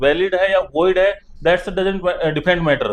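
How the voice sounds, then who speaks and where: This man speaks with a Haryanvi accent. His voice is high-pitched, with fairly even intonation. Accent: Haryanvi dialect unchanged. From Haryana. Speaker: Supreme Court lawyer. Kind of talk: interview discussion.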